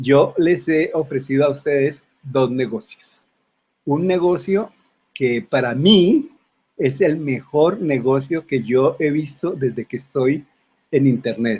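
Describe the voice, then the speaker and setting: At a very slow pace, a man with a fairly high pitch speaks somewhat breathily, his pitch varying in an ordinary way. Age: 70s. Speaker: retired online business promoter. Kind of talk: sales pitch. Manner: halting, frequent fillers.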